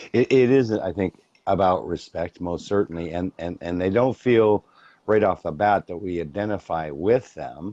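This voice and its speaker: A man speaks in a dark, mellow tone at a fairly low pitch with ordinary pitch variation. His pace is moderate, and the sound is dry and close with no echo. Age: 50s. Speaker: talk show host. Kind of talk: interview.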